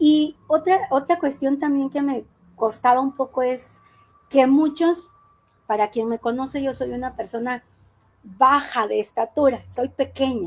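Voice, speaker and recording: Speaking fairly slowly, a woman uses a high pitch. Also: ordinary pitch variation. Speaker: judge and judicial candidate. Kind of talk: interview.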